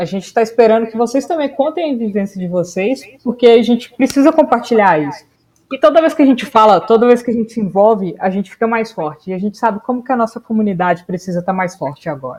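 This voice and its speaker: A woman speaks at a fairly quick pace in a fairly high voice, with very wide pitch swings. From Belo Horizonte, Minas Gerais, Brazil. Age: 20s. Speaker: podcast co-host. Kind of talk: casual chat.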